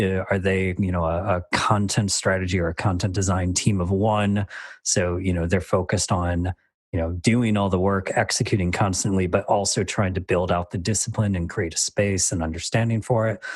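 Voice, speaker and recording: This somewhat breathy voice moves at a moderate pace with monotone, flat intonation. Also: man, very deep, low pitch for a man. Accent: American. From Michigan, US. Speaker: design manager. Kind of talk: interview. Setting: video call. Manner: halting, many fillers.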